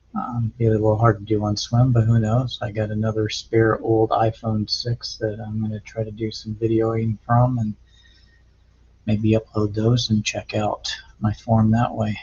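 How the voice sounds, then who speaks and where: A man mumbles at a medium pitch, somewhat breathy. His intonation is monotone and flat. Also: moderate pace. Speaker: amateur triathlete vlogger. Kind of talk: casual video log. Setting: home garage, talking to camera. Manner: mumbling; hesitant, filler-heavy.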